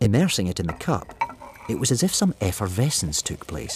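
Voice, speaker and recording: A man talks at a moderate pace with very wide pitch swings. Noticeable background noise is present. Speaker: actor. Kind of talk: radio drama narration.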